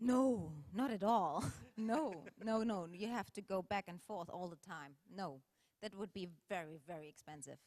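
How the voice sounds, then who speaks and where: The speaker has a German accent and talks at a fairly slow pace, with lively intonation and big swings in loudness. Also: woman, medium pitch for a woman. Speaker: film director and actress. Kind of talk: audience Q&A. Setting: stage with audience. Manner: halting.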